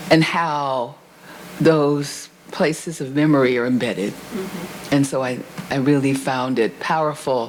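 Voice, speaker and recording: There is noticeable background noise and audible room echo. A woman with a very deep, low pitch speaks at a fairly slow pace. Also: ordinary pitch variation. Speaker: discussant at a university book event. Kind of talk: panel discussion. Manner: animated.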